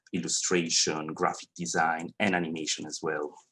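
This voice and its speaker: This man has a very deep, low pitch and a bright, sharp tone. He speaks with a Swiss Italian accent in a monotone, flat intonation. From Italian-speaking Switzerland. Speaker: 3D animator. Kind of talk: industry talk to students. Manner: halting.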